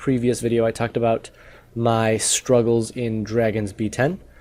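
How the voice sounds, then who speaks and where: This man speaks with a dark, mellow tone. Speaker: gaming YouTuber. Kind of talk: game progress update video. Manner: casual, with filler words.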